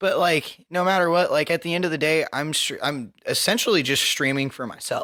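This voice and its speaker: With a bright, sharp tone, the speaker moves at a fairly quick pace with hardly any pauses. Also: man, high pitch for a man, ordinary pitch variation, very clean recording, silent background. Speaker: podcast co-host and streamer. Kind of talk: casual chat. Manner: loud.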